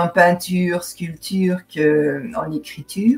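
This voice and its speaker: A woman talks with fairly even intonation. Her voice is somewhat breathy. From Belgium, Seraing (Liège area). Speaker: novelist and painter. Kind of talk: interview. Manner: hesitant, many fillers.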